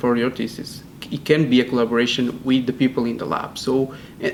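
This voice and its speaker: A man with a Portuguese accent talks at a medium pitch and a moderate pace. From Portugal. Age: 20s. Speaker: PhD student. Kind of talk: interview. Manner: hesitant, many fillers and repeats.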